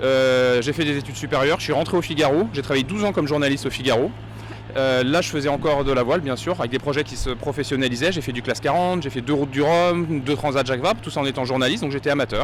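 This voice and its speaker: With ordinary pitch variation, a man talks at a very fast pace over noticeable background noise. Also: fairly high pitch for a man. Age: 40s. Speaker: professional sailor, former journalist. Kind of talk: interview. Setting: race start village.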